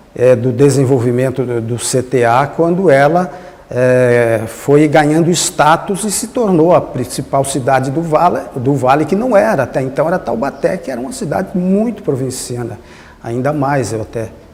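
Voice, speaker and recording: A man's fairly high voice with lively intonation at a moderate pace, plus audible room echo and noticeable background noise. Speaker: former mayor and cultural council member. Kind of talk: interview reminiscence. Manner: halting, with many fillers.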